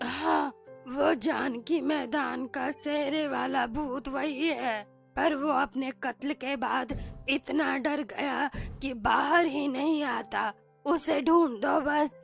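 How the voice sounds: A female-sounding cartoonish character voice growls in a raspy, high pitch at a very slow pace. Faint music plays in the background.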